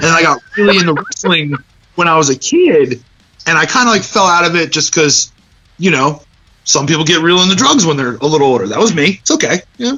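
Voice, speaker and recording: A man with a high pitch and lively intonation, in an American accent, at a fairly quick pace. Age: 30s. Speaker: punk band singer. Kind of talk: casual chat.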